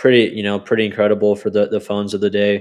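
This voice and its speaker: A man speaks with an American accent and a fairly low pitch. The background is quiet. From US (military family, mostly Texas). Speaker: travel photographer. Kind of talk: casual interview.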